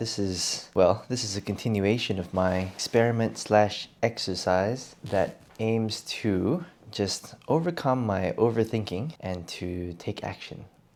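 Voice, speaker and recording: With a normal speaking voice at fairly low pitch, a man talks at a fairly slow pace with ordinary pitch variation and hardly any pauses. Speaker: English speaking coach. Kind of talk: improvised podcast talk. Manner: casual, conversational.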